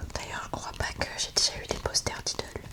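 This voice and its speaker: Against noticeable background noise, the whispering moves along fairly slowly. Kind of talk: ASMR show-and-tell. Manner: soft-spoken.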